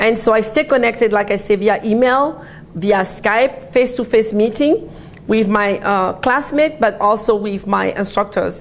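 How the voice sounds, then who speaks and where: Fairly high in pitch, a woman speaks at a moderate pace with ordinary pitch variation and very even loudness. Noticeable background noise is present. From Côte d'Ivoire. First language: an Ivorian African language; French second. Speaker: doctoral student. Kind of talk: recorded talk to students. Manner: hesitant, with fillers.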